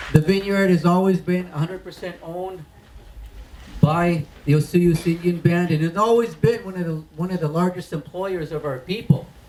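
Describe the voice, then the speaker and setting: Over noticeable background noise, a man with a high pitch speaks at a moderate pace with fairly even intonation. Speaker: First Nations band leader. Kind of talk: ceremonial speech.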